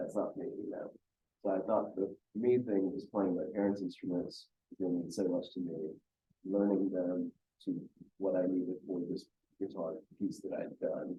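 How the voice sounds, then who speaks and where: With an American accent, a man talks at a moderate pace, leaving long, frequent pauses. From India, later US. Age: 40s. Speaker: musician, singer-songwriter. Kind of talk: interview answers. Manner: casual, halting with fillers.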